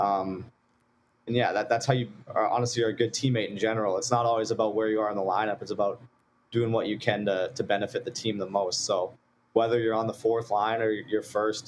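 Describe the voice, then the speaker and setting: Speaking in a Saskatchewan accent, a man of medium pitch moves at a fairly quick pace with monotone, flat intonation. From Saskatchewan, Canada. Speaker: college hockey player. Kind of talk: interview.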